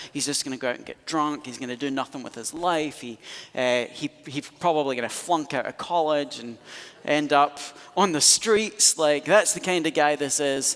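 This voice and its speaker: Speaking at a moderate pace in a Scottish accent, the voice has an animated tone, ordinary pitch variation and big swings in loudness, over noticeable background noise. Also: man, fairly high pitch for a man. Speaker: pastor. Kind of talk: sermon.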